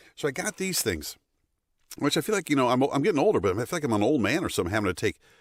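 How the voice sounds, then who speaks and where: At a very fast pace, a man with an American accent swings very widely in pitch and uses vocal fry, in a dry, close sound with no echo on a very clean recording with a silent background. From United States. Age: middle-aged. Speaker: voice actor. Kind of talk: casual talk to camera. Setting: studio. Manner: upbeat, giggly.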